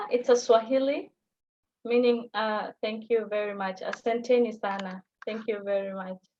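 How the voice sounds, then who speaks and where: Speaking at a moderate pace, a woman with a Somali accent keeps a fairly high pitch and fairly even intonation. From Kenya, Garissa (northeastern). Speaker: language teaching assistant. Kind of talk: live Q&A on video call.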